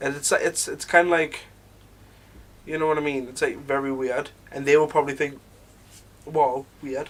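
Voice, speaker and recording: In a Northumbrian accent, a man with a fairly high pitch speaks in a flat monotone, his loudness swinging widely, with long, frequent pauses. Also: moderate pace. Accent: Northumbrian more than Geordie. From northeast England, Northumberland. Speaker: podcast co-host. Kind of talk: casual chat.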